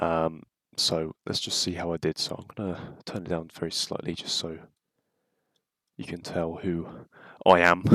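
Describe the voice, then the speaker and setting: A man with a British accent, very deep and low in pitch, in monotone, flat intonation. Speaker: football YouTuber. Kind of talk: casual reaction video. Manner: hesitant, many fillers.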